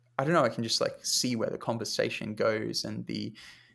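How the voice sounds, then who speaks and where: This man's pace is moderate. He talks with a British accent. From Britain. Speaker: music journalist and podcast host. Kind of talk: interview conversation. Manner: casual, many fillers.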